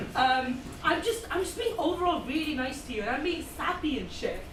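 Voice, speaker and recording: Amid audible room echo, a woman with an Indian accent talks at a moderate pace in a high pitch. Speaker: student comedian. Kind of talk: stand-up. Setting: stage with audience. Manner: animated.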